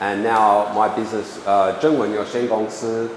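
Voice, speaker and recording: Noticeable background noise and audible room echo surround the recording. A man speaks with a fairly low pitch and fairly even intonation. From Australia, Sydney. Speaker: English editing trainer and lecturer. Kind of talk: lecture. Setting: small room with audience, no microphone. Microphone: speaking without a microphone.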